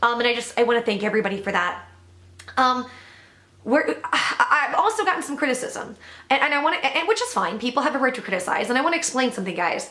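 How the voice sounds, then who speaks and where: Over noticeable background noise, a woman talks at a very fast pace in a raised, projected voice. Her pitch is high, with very wide swings. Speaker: YouTube commentator. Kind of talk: casual vlog commentary.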